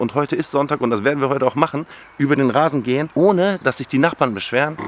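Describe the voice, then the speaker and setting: The man has a fairly high pitch and an ordinary speaking voice with ordinary pitch variation. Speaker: lawn care YouTuber. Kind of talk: tutorial. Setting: outdoors.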